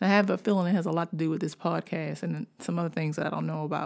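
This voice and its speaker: A woman with an unremarkable speaking voice and an American accent, at a fairly low pitch with fairly even intonation, in a very clean recording with a silent background. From Washington, D.C. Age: 40s. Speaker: podcast host, writer. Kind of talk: casual storytelling monologue.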